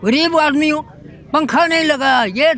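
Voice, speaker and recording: Over crowd noise in the background, a man with an extremely high pitch speaks with ordinary pitch variation. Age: 70s. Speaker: member of the public interviewed. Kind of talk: street interview. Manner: animated.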